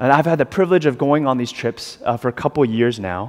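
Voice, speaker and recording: Very fast speech from a medium-pitched man with an American accent and lively intonation. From US South, South Carolina. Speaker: pastor. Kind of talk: sermon. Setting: church. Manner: halting, frequent fillers.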